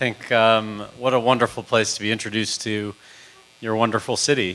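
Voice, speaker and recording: A man speaks at a moderate pace with a medium pitch. Noticeable background noise runs underneath. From Canada (Toronto). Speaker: music industry consultant and panel moderator. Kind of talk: public talk.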